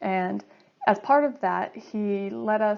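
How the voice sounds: A woman with an American accent speaks at medium pitch. Her tone is slightly mellow, with vocal fry.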